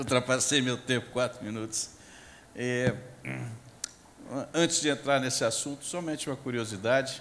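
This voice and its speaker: A man speaks at a moderate pace in a medium pitch, his fairly even intonation broken by long, frequent pauses over noticeable background noise. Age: 60s. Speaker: agricultural scientist and professor. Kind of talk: panel discussion. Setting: stage with audience.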